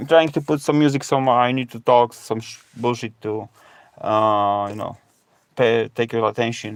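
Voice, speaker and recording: A man with a Polish accent at a moderate pace, fairly even intonation, big swings in loudness, on a very clean recording with a silent background. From Poland. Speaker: live streamer and ocarina player. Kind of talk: casual live stream chat. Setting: reworked garage, live stream from laptop. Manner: halting, many fillers. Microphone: low stream quality from old laptop.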